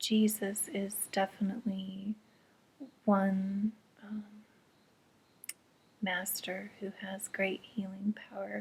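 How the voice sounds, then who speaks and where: Very slowly and with long, frequent pauses, a soft-spoken, somewhat breathy woman talks at medium pitch in a monotone, flat intonation. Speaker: intuitive reader. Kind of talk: spiritual reading talk to camera. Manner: quiet, soft-spoken.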